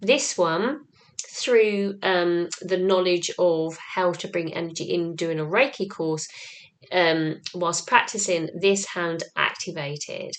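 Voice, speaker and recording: A woman at a very slow pace and fairly low pitch, with ordinary pitch variation and noticeable background noise. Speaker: spiritual channeler and light language teacher. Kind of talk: spiritual teaching monologue. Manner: hesitant, many ums.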